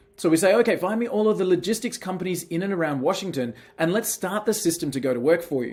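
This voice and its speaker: In an Australian accent, a man talks very fast with a high pitch. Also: lively intonation. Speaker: software company team member. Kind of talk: software demo tutorial. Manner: casual, conversational.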